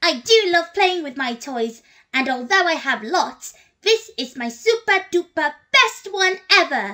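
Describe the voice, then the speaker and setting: In a cartoonish character voice, a woman speaks fairly slowly at an extremely high pitch with very wide pitch swings. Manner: excited, curious.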